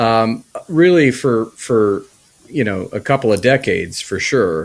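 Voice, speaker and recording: Using a plain, everyday voice, a man with an American accent speaks fairly slowly at a medium pitch with lively intonation. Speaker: podcast co-host. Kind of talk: personal testimony in casual chat.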